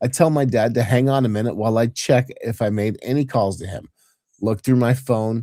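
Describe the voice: The clip is plain reading aloud. Its background is quiet.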